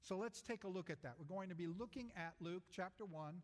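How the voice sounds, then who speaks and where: A man's voice, high in pitch. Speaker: pastor. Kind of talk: sermon. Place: church.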